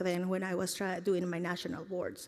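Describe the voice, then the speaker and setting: The voice belongs to a woman with a medium pitch. She speaks with a Spanish accent. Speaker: teacher. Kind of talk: speech to an audience. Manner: halting.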